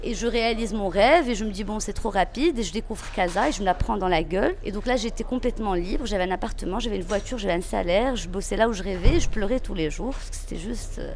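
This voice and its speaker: Over noticeable background noise, a woman talks very fast with hardly any pauses. Her fairly high voice has lively intonation. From Morocco, Meknes. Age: 30s. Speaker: former journalist. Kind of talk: interview testimony.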